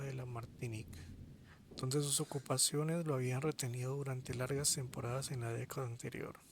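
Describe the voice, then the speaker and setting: A soft-spoken man's medium-pitched voice, monotone and flat, at a moderate pace. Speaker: audiobook reader. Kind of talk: reading aloud.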